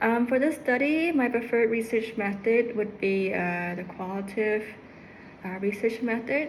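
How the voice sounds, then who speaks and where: A woman speaks at a moderate pace with ordinary pitch variation, and the room echo is audible. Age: 30s. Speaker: psychology student. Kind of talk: class presentation. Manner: halting, many fillers.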